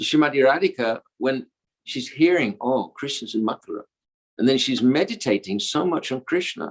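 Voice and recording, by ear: Someone reads aloud in a natural voice, the intonation lively and the background quiet.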